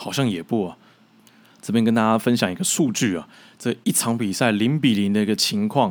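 Over a very clean recording with a silent background, a man with a plain, everyday voice speaks at a moderate pace, his fairly low pitch showing ordinary pitch variation. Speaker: football commentator and podcast host. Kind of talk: solo podcast monologue.

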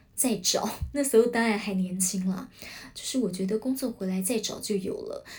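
A woman talks in a Taiwanese accent at a fairly high pitch. Her voice is somewhat breathy. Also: ordinary pitch variation, moderate pace. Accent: Taiwanese Mandarin. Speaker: podcast host, former news channel worker. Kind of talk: solo podcast talk. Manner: many filler sounds, hesitant.

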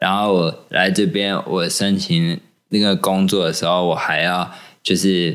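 Very deep and low, a man's voice stays flat and monotone with very even loudness at a fairly slow pace. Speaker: podcast co-host. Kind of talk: casual chat.

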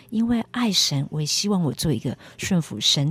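The voice moves through very wide pitch swings, with dry, close sound with no echo and noticeable background noise. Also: woman. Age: 50s. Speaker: preacher. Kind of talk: testimony.

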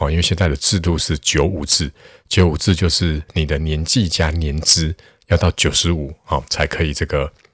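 Here a man talks at a moderate pace with a very deep, low pitch, somewhat breathy and with fairly even intonation. The recording is very clean, with a silent background. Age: 40s. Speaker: math tutor and podcaster. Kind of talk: solo podcast monologue. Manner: casual, many filler particles.

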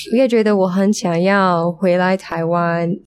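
A woman with a medium pitch talks fairly slowly. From United States. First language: English (speaking Chinese). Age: 20s. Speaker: language student. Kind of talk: casual interview. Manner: halting.

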